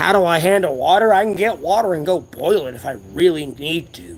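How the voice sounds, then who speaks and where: This man has an American accent. His pitch is high. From US South. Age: 30s. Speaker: homeless livestreamer. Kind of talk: casual livestream chat. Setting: outdoors at a closed strip mall. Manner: loud.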